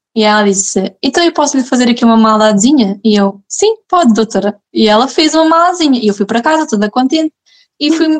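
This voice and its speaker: The delivery moves at a fairly quick pace with lively intonation and very even loudness. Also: woman, high pitch for a woman. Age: 20s. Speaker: mother sharing birth story. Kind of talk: personal testimony in casual interview.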